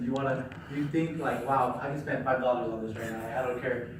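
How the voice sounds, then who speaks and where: Background noise is noticeable and room echo can be heard. The speech moves at a very fast pace. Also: man. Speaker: student presenter. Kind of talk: classroom presentation. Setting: classroom with audience. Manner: loud; casual, filler-heavy.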